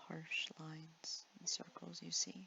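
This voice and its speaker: A soft-spoken voice with a gentle tone comes through noticeable background noise. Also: woman. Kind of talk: ASMR art tutorial narration. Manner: soft-spoken, gentle.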